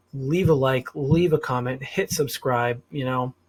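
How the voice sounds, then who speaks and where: Somewhat breathy, a man with a fairly high pitch speaks with an American accent. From US Northeast, Rhode Island. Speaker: political commentary vlogger. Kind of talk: unscripted solo monologue. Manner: hesitant, filler-heavy, some stuttering.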